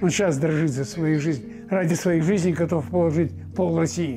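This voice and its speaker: Clear music plays behind a man whose fairly high voice shows ordinary pitch variation. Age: 80s+. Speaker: war veteran. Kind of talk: interview answer. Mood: indignant, emphatic. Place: home room.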